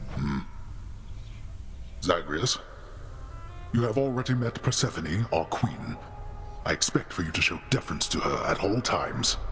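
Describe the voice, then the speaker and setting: A put-on character voice at a moderate pace with long, frequent pauses and clear background noise. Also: man, medium pitch for a man. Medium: video game. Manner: grave, formal.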